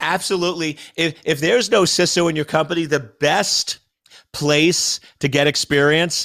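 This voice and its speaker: A fairly high-pitched man's voice, bright and sharp in tone, at a moderate pace with ordinary pitch variation. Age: 50s. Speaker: cybersecurity expert. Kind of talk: interview.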